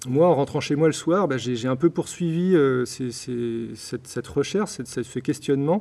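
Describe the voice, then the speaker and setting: This man has a dark, mellow tone. His pitch is medium, with ordinary variation. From France, Blois (Loir-et-Cher). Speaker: author of a political essay. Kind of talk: interview. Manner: halting, many repetitions.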